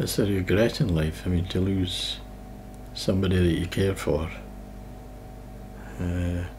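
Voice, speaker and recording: A man with a Scottish accent speaks at a fairly slow pace in a very deep, low pitch, leaving long, frequent pauses. Audible room echo and noticeable background noise surround his voice. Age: 60s. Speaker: person living with MS, former nurse. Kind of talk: documentary interview.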